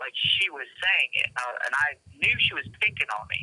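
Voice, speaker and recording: Moderate-paced speech in a Southern US accent. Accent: Southern US accent, noticeable. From US South. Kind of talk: casual chat.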